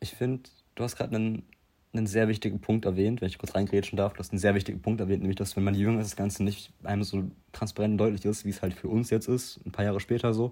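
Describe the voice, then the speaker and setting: Fairly low in pitch with a dark, mellow tone, a man rushes along at a very fast pace in a monotone, flat delivery. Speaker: podcast co-host. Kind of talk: casual chat.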